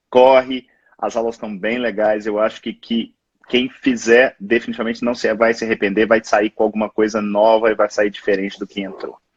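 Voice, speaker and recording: A man's medium-pitched voice, monotone and flat, in a dry, close sound with no echo. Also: moderate pace. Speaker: physician, live show host. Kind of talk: live interview. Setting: Instagram live.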